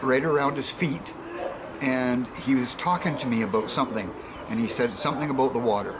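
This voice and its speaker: With a Canadian accent, a man speaks with ordinary pitch variation amid audible room echo and noticeable background noise. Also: medium pitch for a man, fairly quick pace. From western Canada (Victoria, British Columbia). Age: 60s. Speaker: alien abduction witness. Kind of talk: interview testimony. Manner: halting, repeats words.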